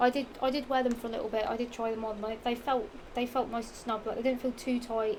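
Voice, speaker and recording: Speaking at a fairly quick pace, a woman with a Norfolk accent has a fairly high pitch and fairly even intonation. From England, Norfolk. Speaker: fashion vlogger. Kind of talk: casual haul vlog. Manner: rambling, halting with fillers.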